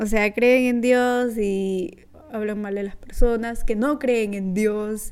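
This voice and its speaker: A woman's fairly high voice at a very slow pace. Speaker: podcast host. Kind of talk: casual solo podcast monologue.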